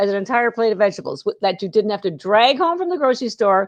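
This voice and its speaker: Speech in a Canadian accent swings very widely in pitch. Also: woman. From Canada. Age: 60s. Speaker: health food company founder. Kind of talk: interview. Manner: animated.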